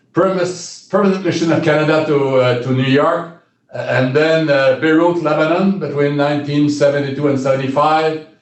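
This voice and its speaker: Amid audible room echo, a man with a fairly high pitch speaks at a moderate pace with fairly even intonation. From Quebec, Shawinigan. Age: 70s. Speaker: retired diplomat. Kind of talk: interview. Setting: in a room with sun in his eyes. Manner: halting.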